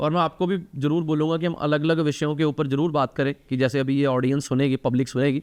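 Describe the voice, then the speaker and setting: Speaking at a moderate pace with hardly any pauses, a man with a Punjabi accent keeps very even loudness, a fairly high pitch, and fairly even intonation. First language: Punjabi (speaking Hindi). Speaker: talk show host and charity founder. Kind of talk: casual interview conversation.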